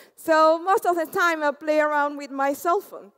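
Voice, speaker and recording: At a moderate pace, a woman is speaking. She has an Argentine accent. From Argentina. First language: Spanish. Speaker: conference speaker, developer. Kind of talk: tech conference talk.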